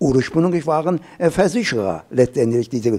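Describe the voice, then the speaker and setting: A man's dark, mellow tone with vocal fry, at a moderate pace against a quiet background. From Urmia, Iran. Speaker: professor. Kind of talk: panel discussion on climate adaptation. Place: hall. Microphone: handheld.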